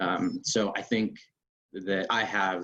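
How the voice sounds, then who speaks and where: This man speaks with a Northern Virginia accent. His voice has a fairly low pitch. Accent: American, Northern Virginia. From Northern Virginia, US. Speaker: military special operations officer. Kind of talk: personal talk to online audience. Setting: video call. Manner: halting, many fillers.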